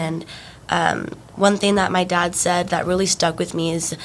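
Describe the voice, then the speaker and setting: A woman's fairly low voice amid noticeable background noise. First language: Spanish. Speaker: university student athlete. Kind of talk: podcast interview. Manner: hesitant, many fillers.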